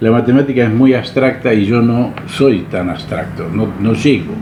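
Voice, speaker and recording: A man speaks at a medium pitch and a fairly slow pace. Noticeable background noise and audible room echo surround him. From Argentina, Buenos Aires. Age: 80s+. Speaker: retired salesman. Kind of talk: interview.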